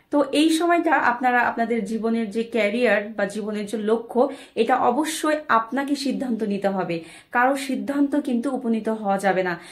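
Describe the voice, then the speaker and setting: A woman speaks at a fairly high pitch with ordinary pitch variation. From Bangladesh. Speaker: motivational speaker. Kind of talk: motivational talk. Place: home room. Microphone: phone near.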